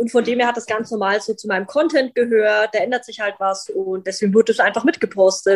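A woman speaks with a normal speaking voice at a fairly quick pace. Her pitch is fairly high, with ordinary variation. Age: 20s. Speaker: vegan content creator and animal welfare activist. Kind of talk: casual interview.

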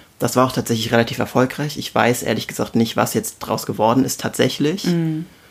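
A man's plain, everyday voice at a medium pitch, fairly quick pace, and ordinary pitch variation. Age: 20s. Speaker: intensive care nurse. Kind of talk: casual conversation.

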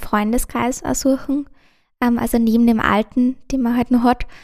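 On a very clean recording with a silent background, a woman with a high voice speaks fairly slowly in a flat, monotone way. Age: young. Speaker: university student. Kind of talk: interview. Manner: halting.

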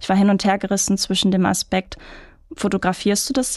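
Over a quiet background, a woman in a plain, everyday voice talks at a fairly quick pace with a medium pitch. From Ruhr area, Germany (Mülheim). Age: 30s. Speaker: photographer and marketing manager. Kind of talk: interview.

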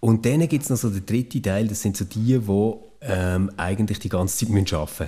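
A man's fairly low, somewhat breathy voice, dark and mellow in tone, with ordinary pitch variation at a moderate pace. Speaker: former podcast co-host. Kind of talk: casual chat.

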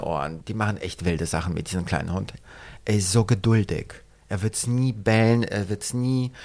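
A man talks at a moderate pace and medium pitch in a normal speaking voice. His pitch varies in an ordinary way, and the recording is very clean with a silent background. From Poland. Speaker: fashion designer. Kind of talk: casual interview. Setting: his shop and studio.

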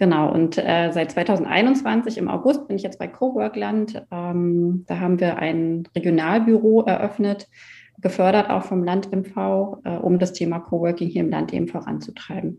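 An ordinary speaking voice from a woman, fairly low in pitch, fairly slow, with ordinary pitch variation. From Mecklenburg-Western Pomerania, Germany. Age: 30s. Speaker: coworking space founder. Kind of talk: interview.

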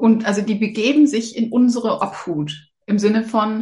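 A woman speaks at a very slow pace. Her voice is fairly high-pitched and somewhat breathy. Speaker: animal communicator. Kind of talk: casual interview chat.

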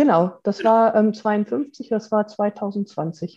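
Her tone is dark and mellow. The woman's pitch is medium. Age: 50s. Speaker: mechanical engineer and coach. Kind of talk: interview.

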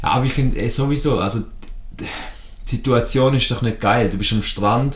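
Someone with a Swiss accent speaks at a moderate pace with audible room echo. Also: man. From Switzerland. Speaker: podcast co-host. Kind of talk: casual chat.

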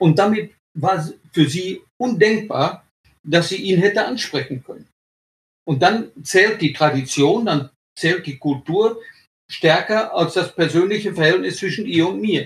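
High male voice at a fairly slow pace, broken by long, frequent pauses. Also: ordinary pitch variation. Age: 70s. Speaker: retired sports journalist. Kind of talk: interview.

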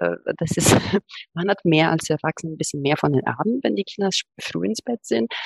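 A woman speaks with an Italian accent at a moderate pace. The sound is dry and close with no echo. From Italy, Rome. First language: Italian (speaking German). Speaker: academic, podcast guest. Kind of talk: casual interview.

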